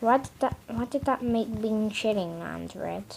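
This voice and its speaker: A woman speaks at a very slow pace with fairly high pitch. Noticeable background noise sits behind her. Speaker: mapping video creator. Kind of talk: casual commentary over map scenario. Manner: halting, repetitive filler.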